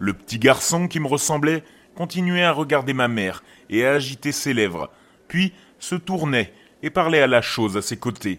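A man speaks in a normal speaking voice with lively intonation, on a very clean recording with a silent background. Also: fairly high pitch for a man. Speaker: horror podcast narrator. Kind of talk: scripted horror story narration, reading a creepypasta aloud. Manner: slow, hushed, suspenseful storytelling.

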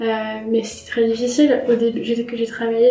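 Over noticeable background noise, a woman speaks at a moderate pace in a fairly high pitch with monotone, flat intonation. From France, Troyes. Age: 20s. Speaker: cancer survivor, blogger. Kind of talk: testimony. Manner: halting.

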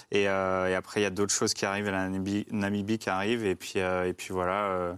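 A man talks at a fairly quick pace in a fairly low, flat monotone. The recording is very clean, with a silent background. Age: 30s. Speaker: endurance cyclist and adventurer. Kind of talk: casual chat.

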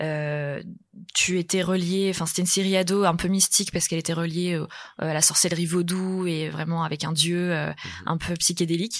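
On a very clean recording with a silent background, a woman speaks at a fairly quick pace in a fairly low pitch with monotone, flat intonation. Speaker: film journalist. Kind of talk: casual interview.

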